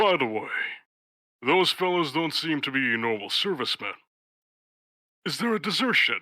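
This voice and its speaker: Putting on a character voice, a man speaks at fairly high pitch with very wide pitch swings and long, frequent pauses. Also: moderate pace. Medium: machinima. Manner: formal, earnest.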